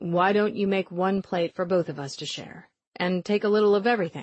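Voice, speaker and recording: A put-on character voice, female-sounding and of middle pitch, calm in tone at a fairly quick pace. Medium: read story. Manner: calm, measured.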